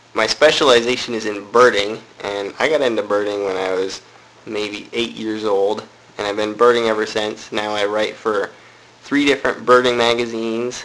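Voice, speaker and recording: A man's fairly low voice at a moderate pace, with fairly even intonation, against noticeable background noise. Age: 20s. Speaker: student bird artist and writer. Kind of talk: documentary interview.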